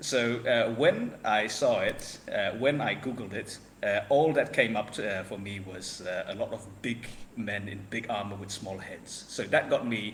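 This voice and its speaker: Through noticeable background noise, a man is heard talking at a fairly slow pace. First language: not English. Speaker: podcast guest, wargaming hobbyist. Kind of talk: casual chat. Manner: halting, many fillers.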